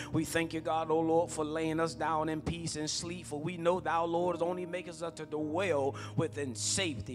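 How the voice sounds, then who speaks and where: A man speaks at a moderate pace while clear music sounds in the background. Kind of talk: spoken prayer. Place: church. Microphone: handheld.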